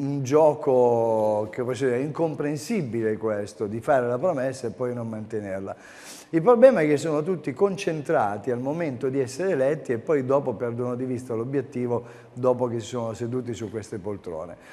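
A man with a dark, mellow tone and ordinary pitch variation. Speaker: call-in show host. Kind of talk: live radio-style call-in talk show. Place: studio. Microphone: lapel.

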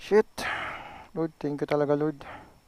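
The man's voice sits at a fairly high pitch. The sound is dry and close, with no echo. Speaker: motorcycle vlogger. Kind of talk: vlog commentary after accident. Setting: outdoors on roadside. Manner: agitated, swearing in shock.

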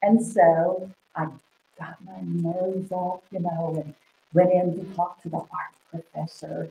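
Amid audible room echo, a somewhat breathy woman talks in an American accent. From Oklahoma. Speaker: artist. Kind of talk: interview. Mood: warm, animated. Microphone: webcam.

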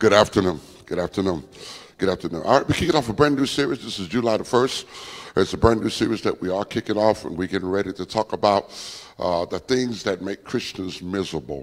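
Against a quiet background, a man speaks at a very fast pace with a fairly low pitch. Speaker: preacher. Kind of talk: sermon. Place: church. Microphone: handheld.

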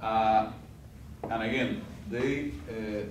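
A man speaks with a Spanish accent, with noticeable background noise and audible room echo. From Cuba. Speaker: diplomat. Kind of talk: guest lecture. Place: classroom. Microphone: camera far.

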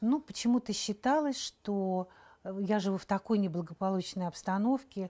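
A woman's voice has a dark, mellow tone. The recording is very clean, with a silent background and a dry, close sound without echo. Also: medium pitch for a woman, ordinary pitch variation, moderate pace. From Saint Petersburg, Russia. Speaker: actress. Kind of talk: interview.

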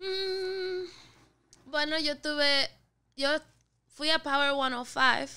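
Over a quiet background, a woman speaks very slowly in a raised, projected voice, high in pitch with a bright, sharp tone, ordinary pitch variation and long, frequent pauses. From Puerto Rico (Carolina, Dorado); Puerto Rico. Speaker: singer and rapper; podcast guest. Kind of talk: casual chat. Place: studio. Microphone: studio mic.

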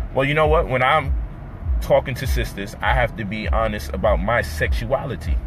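A man speaks at a moderate pace in a dry sound with no echo while music plays in the background. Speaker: commentator on relationships. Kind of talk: casual vlog chat. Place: car. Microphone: phone near.

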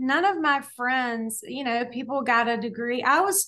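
A woman speaks with an American accent in a bright, sharp tone. Her pitch varies in an ordinary way against a quiet background. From US South. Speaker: dietitian and author; podcast guest. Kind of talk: interview. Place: home room. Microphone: video call.

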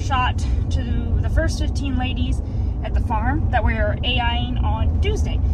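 Loud noise fills the background while a woman talks. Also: dry sound with no echo. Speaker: farmer vlogger. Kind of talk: casual vlog chat. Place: car. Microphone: phone near.

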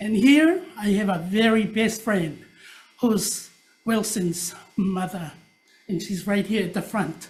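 A woman with a medium pitch and ordinary pitch variation talks at a very slow pace, leaving long, frequent pauses, with audible echo in the room. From Tonga. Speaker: public testifier. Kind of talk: public testimony.

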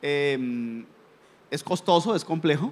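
A man at a very slow pace, fairly high pitch, ordinary pitch variation. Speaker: education official on the panel. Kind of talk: panel discussion. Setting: stage with audience, live event. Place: hall. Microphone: handheld.

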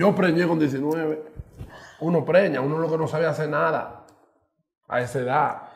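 A man with a Dominican accent speaks at a moderate pace in a fairly high voice, with long, frequent pauses over a quiet background. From Dominican Republic. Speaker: radio host and social media personality; interview guest. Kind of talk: casual chat. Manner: animated. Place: studio.

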